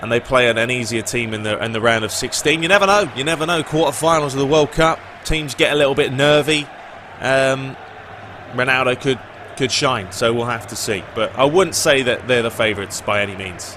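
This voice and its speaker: Fairly quick male speech, noticeable background noise behind it. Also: medium pitch for a man, ordinary pitch variation. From Britain. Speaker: gaming YouTuber. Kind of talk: casual Q&A commentary. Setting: video with facecam. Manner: casual, with fillers.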